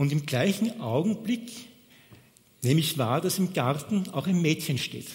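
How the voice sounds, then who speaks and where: A man with a fairly high pitch and lively intonation, at a fairly slow pace with long, frequent pauses. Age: 60s. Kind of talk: sermon.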